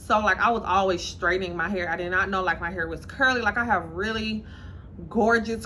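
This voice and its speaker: Audible room echo surrounds a woman's voice. Her pitch is medium and her intonation fairly even. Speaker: lifestyle and dating vlogger. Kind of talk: casual vlog monologue.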